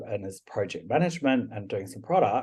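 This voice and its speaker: Somewhat breathy, a man with a New Zealand accent speaks at a fairly quick pace with ordinary pitch variation. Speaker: product and service manager. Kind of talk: podcast interview.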